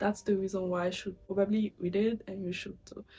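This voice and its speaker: Somewhat breathy and dark, mellow in tone, a woman speaks with a French accent. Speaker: booktuber. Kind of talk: casual vlog talk. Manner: casual, with filler words.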